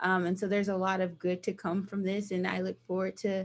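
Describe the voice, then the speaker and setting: A woman with an American accent speaks at a fairly quick pace and a medium pitch. The background is quiet. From US South, small towns Georgia/Virginia. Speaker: nonprofit director of operations. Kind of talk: guest talk with slides. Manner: animated.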